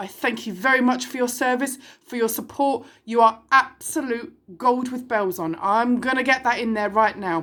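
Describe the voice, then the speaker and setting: With a British accent, a woman speaks at a moderate pace in an animated, bright, sharp tone, her high pitch showing ordinary variation on a very clean recording with a silent background. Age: 40s. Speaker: online video host, single mother. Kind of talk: casual monologue.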